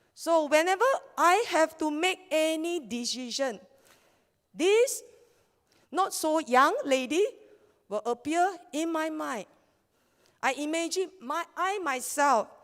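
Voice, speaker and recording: A woman with a Malaysian accent, extremely high-pitched, at a very slow pace with lively intonation and long, frequent pauses. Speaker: network marketing leader and scientific researcher. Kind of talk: motivational seminar talk.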